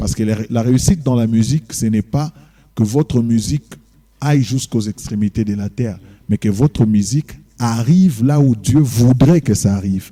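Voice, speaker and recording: The voice has a dark, mellow tone, ordinary pitch variation and a moderate pace, recorded with a dry, close sound with no echo. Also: man, medium pitch for a man. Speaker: pastor and gospel singer. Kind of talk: TV interview.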